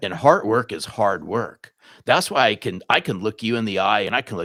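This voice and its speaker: Fairly quick and fairly low in pitch, a man's bright, sharp tone comes through a very clean recording with a silent background and a dry, close sound with no echo. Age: 60s. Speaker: sales author and trainer. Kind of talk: podcast interview.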